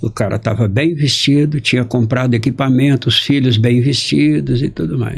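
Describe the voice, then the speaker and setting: Using lively intonation and vocal fry, a man speaks at a moderate pace. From Brazil. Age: 60s. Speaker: journalist and family constellation facilitator. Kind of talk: interview storytelling.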